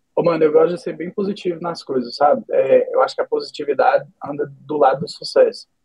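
A man speaks at a fairly quick pace. He leaves hardly any pauses. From Brazil, Minas Gerais. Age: 20s. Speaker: esports team owner. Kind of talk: casual interview.

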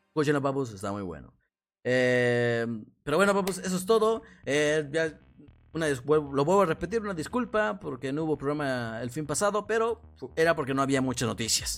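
Someone with a Mexican accent speaks in an animated tone at a moderate pace, pitch swinging very widely, on a very clean recording with a silent background. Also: man, fairly high pitch for a man. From Mexico, Morelos. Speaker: podcast host. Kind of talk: casual live stream talk. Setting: live stream.

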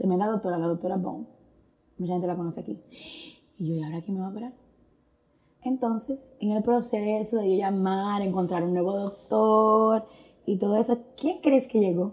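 Using a medium pitch and ordinary pitch variation, a woman speaks at a moderate pace with long, frequent pauses. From Dominican Republic, Santo Domingo. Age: 40s. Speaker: churchgoer sharing testimony. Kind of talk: testimony.

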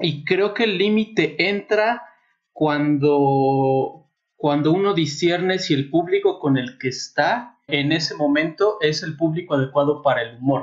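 A man's fairly high pitch with ordinary pitch variation, in a central Mexican accent, at a fairly slow pace. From Mexico City, raised partly in Puebla. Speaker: nanotechnologist guest. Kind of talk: casual chat.

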